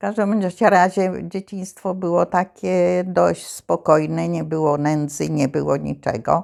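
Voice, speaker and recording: A woman at a very slow pace with hardly any pauses, in a very clean recording with a silent background. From Poland, Zamość region. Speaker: war childhood witness. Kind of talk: oral history interview answer.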